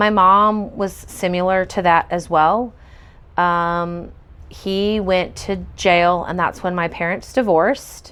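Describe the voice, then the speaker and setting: Delivered in an American accent at a very slow pace, the intonation stays fairly even. The background is quiet. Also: woman, medium pitch for a woman. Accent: occasional country. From US South, Pensacola, Florida. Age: 40s. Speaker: storyteller. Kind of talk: testimony. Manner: halting, frequent fillers.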